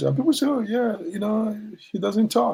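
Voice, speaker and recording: A man's somewhat breathy voice with a dark, mellow tone, at a moderate pace. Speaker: professor of social ethics. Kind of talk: interview answer.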